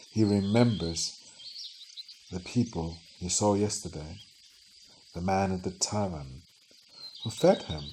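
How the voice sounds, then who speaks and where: Calm in tone, a man speaks fairly slowly with a very deep, low pitch and long, frequent pauses. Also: ordinary pitch variation. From Denmark. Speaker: storyteller. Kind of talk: sleep story. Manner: slow, calm.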